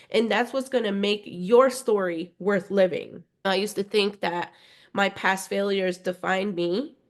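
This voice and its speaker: A woman with a Spanish accent talks at a fairly slow pace. Her pitch is medium. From Spanish-speaking family, schooled in the US. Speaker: podcast host, empowerment coach. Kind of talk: motivational podcast monologue. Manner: conversational, frequent 'right?' tags.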